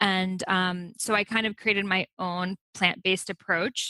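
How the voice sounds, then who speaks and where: A woman talks with an American accent in a bright, sharp tone at medium pitch. The sound is dry and close, with no echo. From USA, Iranian immigrant family. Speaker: author and Ayurveda teacher. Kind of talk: interview.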